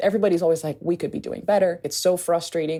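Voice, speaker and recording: The voice has an American accent and a dark, mellow tone with ordinary pitch variation. The recording is very clean, with a silent background. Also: woman. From Haiti. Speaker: anthropologist and aid reform advocate. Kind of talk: podcast interview. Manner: casual, conversational.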